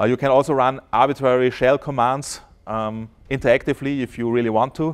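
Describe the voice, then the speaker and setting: Speaking with a German accent, a man with a medium pitch keeps a moderate pace and fairly even intonation against a quiet background. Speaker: software developer. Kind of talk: conference talk. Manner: halting, many fillers.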